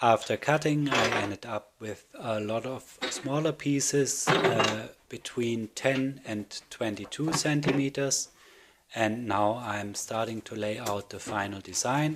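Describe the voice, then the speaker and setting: A man with a non-native accent speaks at a fairly slow pace and a medium pitch, with noticeable background noise behind him. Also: ordinary pitch variation. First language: not English. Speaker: woodworking video maker. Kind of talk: voiceover tutorial narration. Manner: hesitant with fillers.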